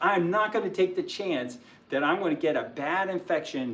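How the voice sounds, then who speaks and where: A high-pitched man at a moderate pace, his pitch swinging very widely. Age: 60s. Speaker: physician and health channel host. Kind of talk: livestream health talk. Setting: livestream. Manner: hesitant, many fillers.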